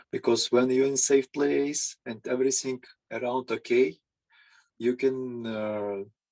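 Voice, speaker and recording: A man at a very slow pace, in dry, close sound with no echo. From Ukraine. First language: Ukrainian or Russian. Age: 50s. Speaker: psychologist. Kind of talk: interview. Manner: halting. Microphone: audio issues.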